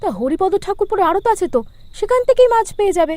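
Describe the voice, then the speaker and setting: A woman's cartoonish character voice, extremely high-pitched and lively in intonation, at a fairly quick pace. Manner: sharp, scolding.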